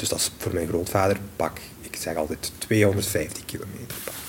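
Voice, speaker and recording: Against noticeable background noise, a man with a Limburg accent speaks in a fairly low voice with fairly even intonation. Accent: Limburg Flemish. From Belgium, Limburg. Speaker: space law researcher and lecturer. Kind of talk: interview.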